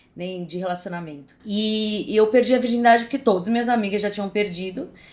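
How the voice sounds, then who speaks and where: With an unremarkable speaking voice and medium pitch, a woman talks at a fairly quick pace with ordinary pitch variation and big swings in loudness. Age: 40s. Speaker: actress. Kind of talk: podcast interview, personal story.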